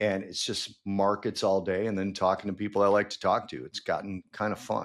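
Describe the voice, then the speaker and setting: In a Chicago accent, the speaker talks at a fairly quick pace with fairly even intonation on a very clean recording with a silent background. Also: man, fairly low pitch for a man. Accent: Chicago American English. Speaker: trader, podcast guest. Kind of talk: casual chat.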